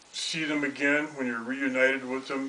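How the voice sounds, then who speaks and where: Amid noticeable background noise, a man with an American accent speaks fairly slowly at a fairly high pitch. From Colorado (Denver area), US. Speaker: retired teacher. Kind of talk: interview, personal life story. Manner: halting, many fillers and repetitions.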